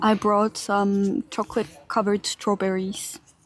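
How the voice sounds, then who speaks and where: A soft-spoken woman talks at a medium pitch. The sound is dry and close, with no echo. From Finland. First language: Finnish. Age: 20s. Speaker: streamer. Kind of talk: live stream chat. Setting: outdoors. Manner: murmuring.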